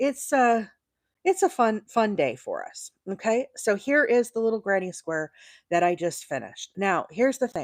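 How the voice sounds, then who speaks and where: At a moderate pace, a woman speaks with a fairly high pitch and very wide pitch swings. The sound is dry and close, with no echo. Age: 40s. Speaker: crochet content creator. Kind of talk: live stream tutorial chat. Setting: livestream. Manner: casual, chatty with many fillers.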